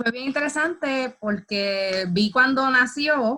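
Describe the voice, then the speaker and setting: A woman speaks with a bright, sharp tone. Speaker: interviewer. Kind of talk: interview questions.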